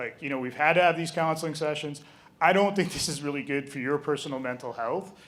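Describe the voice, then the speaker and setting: A man talks with a Canadian accent. Room echo is audible. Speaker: game store owner, presenter. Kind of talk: live presentation. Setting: stage with audience. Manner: fast.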